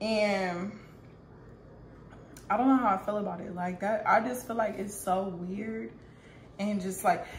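A woman talks at a fairly slow pace. Light background noise and audible room echo surround her voice. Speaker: mother vlogger. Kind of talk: casual vlog chat. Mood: relaxed, amused. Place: kitchen. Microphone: phone near.

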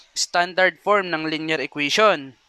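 A man with a bright, sharp tone and high pitch speaks at a fairly slow pace. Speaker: math teacher. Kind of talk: lecture. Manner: frequent hesitations.

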